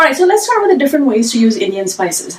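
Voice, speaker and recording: A woman talks in a high pitch with very wide pitch swings. Noticeable background noise is present. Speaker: cooking teacher. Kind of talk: live-streamed cooking class. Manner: loud; fast when excited.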